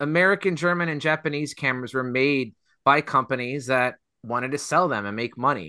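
A man's lively, fairly quick speech, bright and sharp in tone, against a quiet background. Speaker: podcast host. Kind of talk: casual chat.

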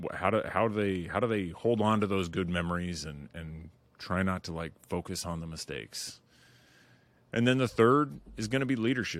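A man with a very deep, low pitch, at a moderate pace. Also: lively intonation. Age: 40s. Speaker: podcast host. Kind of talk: solo monologue intro.

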